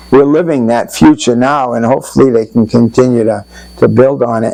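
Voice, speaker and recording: The speaker has an American accent and fairly even intonation. There is noticeable background noise. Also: man. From Putnam, Connecticut, US. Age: 80s+. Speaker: local resident sharing flood memories. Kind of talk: oral history interview. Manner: halting.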